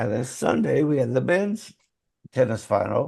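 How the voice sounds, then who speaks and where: A man's medium-pitched voice with a dark, mellow tone, lively intonation and vocal fry. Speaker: podcast host. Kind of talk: casual chat.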